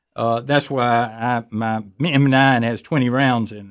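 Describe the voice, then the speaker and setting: Fairly even intonation from a man at a medium pitch, a normal speaking voice. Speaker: radio host, retired judge and firearms instructor. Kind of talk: radio call-in talk show.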